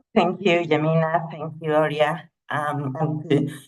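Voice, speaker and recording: A woman's very deep, low-pitched monotone with flat intonation, fairly slow, in a Spanish accent, with audible room echo. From Latin America. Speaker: tax justice advocate. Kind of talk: panel presentation.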